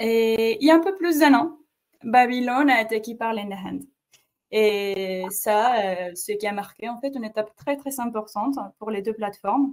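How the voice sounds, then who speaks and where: A woman with a Mexican accent, fairly high in pitch, at a fairly slow pace. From Mexico. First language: Spanish (speaking French). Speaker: webinar host, marketing coordinator. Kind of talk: webinar presentation. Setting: online webinar. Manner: hesitant, many fillers.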